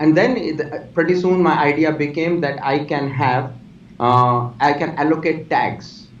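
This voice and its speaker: A man's fairly high voice at a moderate pace, ordinary pitch variation and audible room echo. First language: not English. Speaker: technology executive and author. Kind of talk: interview. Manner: halting.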